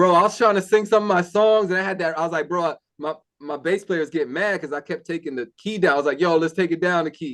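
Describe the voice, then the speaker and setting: This man speaks very fast. His pitch is high for a man. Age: 40s. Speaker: singer and construction worker. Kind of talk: casual chat. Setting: video call.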